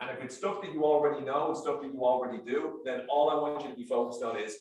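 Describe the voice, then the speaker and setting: A man talks very fast with an American accent. His pitch is fairly high, and there is audible room echo. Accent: Irish, with some New York. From Ireland, Dublin. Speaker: sales trainer. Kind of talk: workshop presentation. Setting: stage with audience.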